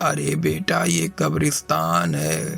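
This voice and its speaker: The speech comes in a put-on character voice, very slowly. Some faint music is audible behind it. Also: man. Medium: read story. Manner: grave, serious.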